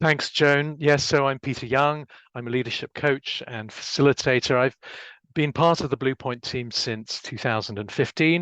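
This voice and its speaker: In a dry, close recording with no echo, a man with a fairly high pitch talks at a moderate pace with fairly even intonation. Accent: English. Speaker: leadership coach and facilitator. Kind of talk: business webinar introduction.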